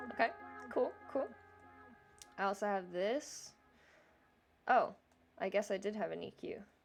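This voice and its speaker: Over music in the background, a woman speaks at a fairly slow pace with long, frequent pauses and ordinary pitch variation. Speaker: music producer and vocal tutorial youtuber. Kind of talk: tutorial. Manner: casual, with many fillers.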